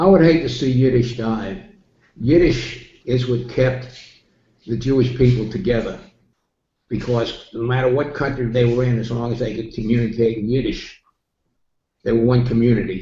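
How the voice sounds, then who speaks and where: Speaking at a moderate pace with long, frequent pauses, a man with an American accent and medium pitch sounds somewhat breathy, uses ordinary pitch variation, and has audible room echo behind him. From New York City. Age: 80s+. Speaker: interviewee. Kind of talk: interview. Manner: halting.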